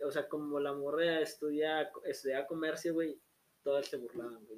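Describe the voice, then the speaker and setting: Fairly high in pitch, a man with a Mexican accent speaks at a moderate pace. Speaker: podcast host. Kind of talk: casual chat.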